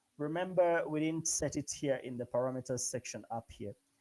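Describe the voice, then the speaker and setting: A man talks in a dark, mellow tone. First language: not English. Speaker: programming instructor. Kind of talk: live coding tutorial. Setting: online live session. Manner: halting, many fillers.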